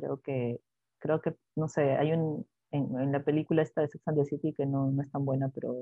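Speaking at a moderate pace, a woman has a very deep, low pitch and fairly even intonation. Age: 30s. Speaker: podcast co-host, newspaper journalist. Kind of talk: casual chat.

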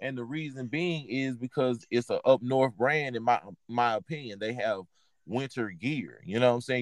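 In a dry, close sound with no echo, a man with a medium pitch talks at a fairly quick pace with ordinary pitch variation in an ordinary speaking voice. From Texas. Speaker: podcast host, clothing reseller. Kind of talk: casual chat.

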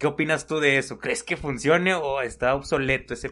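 A man speaks against a quiet background. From Mexico. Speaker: podcast co-host. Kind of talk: casual chat.

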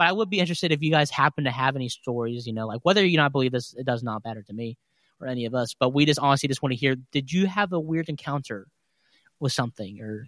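In a very clean, dry and close recording with no echo and a silent background, a man with a West Virginia accent talks very fast at medium pitch with lively intonation. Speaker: podcast host. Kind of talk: casual chat; reading aloud.

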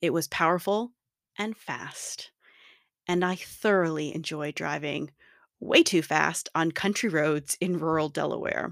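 On a very clean recording with a silent background and a dry, close sound with no echo, a woman speaks with an American accent. Her fairly low voice carries vocal fry at a fairly slow pace. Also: ordinary pitch variation. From US. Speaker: podcast host. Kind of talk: personal monologue.

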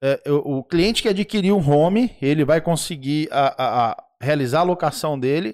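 A man speaks with lively intonation at a fairly high pitch. The recording is very clean, with a silent background and a dry, close sound with no echo. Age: 40s. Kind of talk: casual livestream talk show. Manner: animated.

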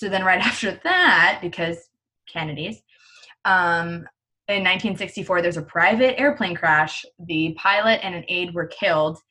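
A woman's bright, sharp tone at a fairly low pitch. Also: ordinary pitch variation. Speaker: podcast co-host. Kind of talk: casual chat. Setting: remote recording, quarantine. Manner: fast talker.

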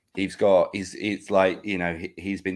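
Heard on a very clean recording with a silent background, a man with a southern English accent speaks at a moderate pace. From England. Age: 50s. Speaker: podcast co-host. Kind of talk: casual chat.

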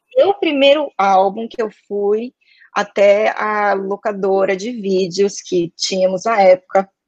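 A woman talks at a very slow pace. Her pitch shows ordinary variation. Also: medium pitch for a woman, dry, close sound with no echo. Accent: São Paulo. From Brazil, São Paulo. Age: 20s. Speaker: advertising professional. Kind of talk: casual interview chat.

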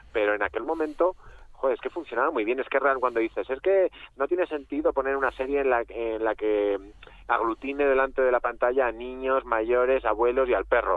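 An unremarkable speaking voice holds very even loudness with ordinary pitch variation. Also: man, medium pitch for a man. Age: 40s. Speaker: author. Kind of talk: radio interview.

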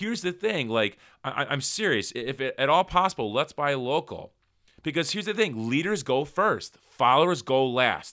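A loud man with an American accent, a fairly high pitch, very wide pitch swings, and an animated, bright, sharp tone, on a very clean recording with a silent background. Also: moderate pace. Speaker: entrepreneurship podcast host. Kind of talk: solo motivational talk. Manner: loud, animated.

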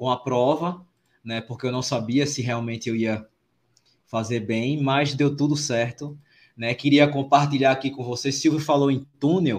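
Speaking at a moderate pace with fairly even intonation, a man uses a normal speaking voice at medium pitch. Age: 40s. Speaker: podcast host, amateur runner. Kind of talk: casual chat.

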